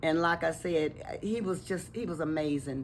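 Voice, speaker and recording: A woman's very deep, low voice. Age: 80s+. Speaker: longtime resident. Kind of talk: interview.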